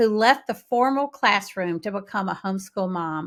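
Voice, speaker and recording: On a very clean recording with a silent background, a woman with a Southern US accent speaks at a moderate pace in a medium pitch with ordinary pitch variation. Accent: Southern US, draws out syllables. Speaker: podcast host. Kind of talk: podcast intro and interview.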